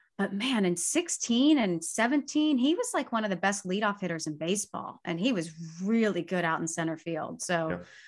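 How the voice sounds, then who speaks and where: A woman speaks at medium pitch and a moderate pace, with hardly any pauses. Her intonation is lively and her tone is animated. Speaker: podcast host. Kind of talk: casual chat. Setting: video call from childhood bedroom.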